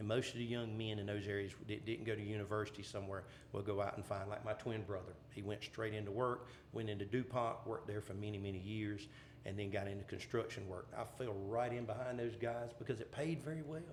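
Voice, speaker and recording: A man with an American accent, fairly low-pitched and very fast, with audible room echo. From southeastern North Carolina (Columbus and Bladen counties). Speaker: pageant MC and energy company worker. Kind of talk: casual podcast interview. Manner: hesitant, many fillers.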